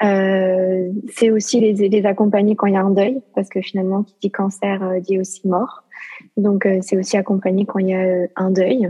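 A woman's flat, monotone delivery at medium pitch and a fairly slow pace. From southern France. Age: 20s. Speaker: life coach. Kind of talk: testimony. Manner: hesitant, many fillers.

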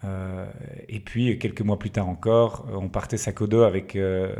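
On a very clean recording with a silent background, a man speaks at a moderate pace in a fairly low, dark, mellow voice with monotone, flat intonation. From Belgium, Liège region. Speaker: entrepreneur. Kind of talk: casual interview. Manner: halting.

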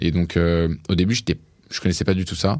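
On a very clean recording with a silent background, a man with a very deep, low pitch races along at a very fast pace. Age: 20s. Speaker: entrepreneur. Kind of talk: interview. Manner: hesitant, many fillers.

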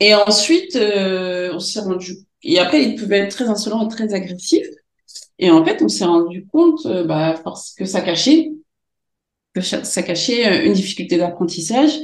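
Somewhat breathy and fairly slow, a woman speaks with very wide pitch swings. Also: medium pitch for a woman. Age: 40s. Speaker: special education teacher. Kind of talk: interview. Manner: halting.

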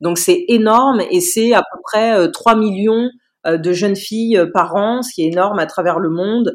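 A woman's fairly high voice with very wide pitch swings, at a fairly slow pace. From Paris region, France. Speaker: lawyer. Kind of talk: interview.

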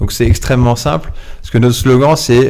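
A man speaks at a medium pitch and a moderate pace. It is an ordinary speaking voice. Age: 40s. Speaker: entrepreneur, founder of a second-hand collection company. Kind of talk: interview.

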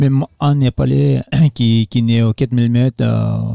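A man in a Nepalese accent at a fairly slow pace. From Nepal, Solukhumbu (Everest region). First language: Sherpa (speaking French). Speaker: trail runner and trek organizer. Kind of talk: interview. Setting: festival. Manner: halting.

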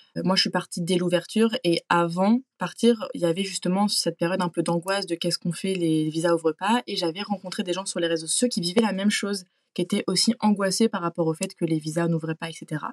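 A woman talks at a fairly quick pace with hardly any pauses and fairly even intonation. It is a plain, everyday voice, in a dry, close sound with no echo. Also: medium pitch for a woman. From France. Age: 20s. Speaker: working holiday traveler. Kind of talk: interview testimony.

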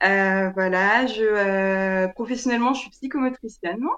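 With fairly even intonation, this woman's voice holds a medium pitch. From France, Ain department near Lyon. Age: 20s. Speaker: ultra trail runner, psychomotor therapist. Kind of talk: casual interview. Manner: halting, many hesitations.

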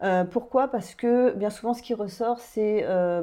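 An ordinary speaking voice from a woman, fairly slow and fairly even in intonation. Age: 40s. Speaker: life coach and hypnotherapist. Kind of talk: guided hypnosis; interview chat.

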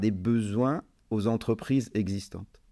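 A man's unremarkable speaking voice, medium in pitch, with ordinary pitch variation. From Lebanon. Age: 50s. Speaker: business owner. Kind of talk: interview.

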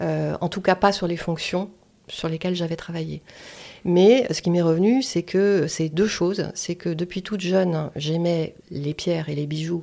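Her voice fairly low and her intonation fairly even, a woman speaks at a fairly slow pace in a dark, mellow tone. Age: 50s. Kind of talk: testimony. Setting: at the host's home.

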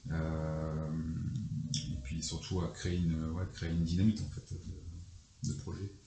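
Over noticeable background noise, a man speaks very slowly with a very deep, low pitch and ordinary pitch variation. His long, frequent pauses ring with audible room echo. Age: 40s. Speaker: company founder. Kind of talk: interview.

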